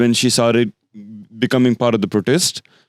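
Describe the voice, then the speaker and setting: In a dry, close sound with no echo, a man with a non-native accent talks at a medium pitch and a fairly quick pace. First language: not English. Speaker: podcast co-host. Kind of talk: casual chat. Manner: halting, many false starts.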